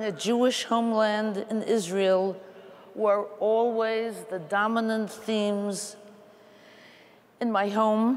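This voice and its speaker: A woman with an American accent, fairly high in pitch, at a very slow pace. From US Northeast (Queens, New York); New York. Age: 80s+. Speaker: panelist at religious assembly; panelist. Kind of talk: personal testimony. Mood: earnest, reflective. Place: hall.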